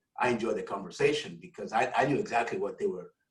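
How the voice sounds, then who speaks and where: Speaking very fast with a Nigerian accent, a man's voice is somewhat breathy and swings very widely in pitch. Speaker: academic leader. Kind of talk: casual chat.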